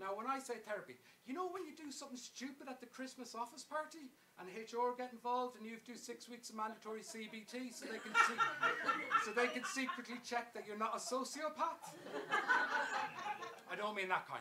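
A man with an extremely high pitch projects a raised voice at a fairly quick pace, with ordinary pitch variation. His loudness swings a lot, and loud background noise surrounds him. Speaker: storyteller, solo theatre performer. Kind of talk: solo stage storytelling show. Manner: conversational. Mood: wry, comic. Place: stage.

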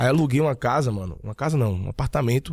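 The voice is somewhat breathy, with lively intonation. The sound is dry with no echo, over a quiet background. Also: man. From Bahia, Brazil (Jequié, interior); Bahia, Brazil. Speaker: digital marketing entrepreneur; podcast guest. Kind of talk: casual interview chat. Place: studio. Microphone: studio mic.

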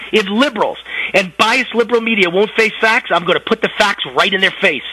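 With noticeable background noise behind him, a man uses a raised, projected voice at an extremely high pitch. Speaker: political commentator. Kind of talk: political commentary.

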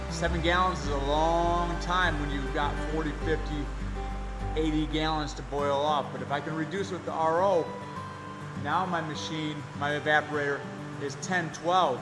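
With clear music in the background, a man speaks at a fairly slow pace with long, frequent pauses. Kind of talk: casual vlog chat. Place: workshop. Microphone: phone near.

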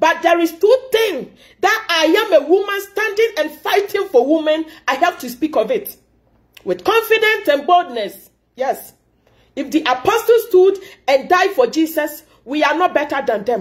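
This woman speaks at a moderate pace with an extremely high pitch and very wide pitch swings over a quiet background. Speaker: commentator. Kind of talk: impassioned commentary vlog. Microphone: phone near.

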